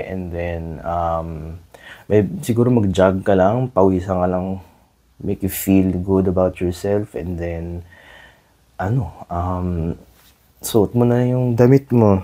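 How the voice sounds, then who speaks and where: A man's very slow, fairly low-pitched voice with a dark, mellow tone and fairly even intonation, in a very clean recording with a silent background. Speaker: podcast host. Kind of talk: casual solo podcast talk. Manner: halting, self-correcting.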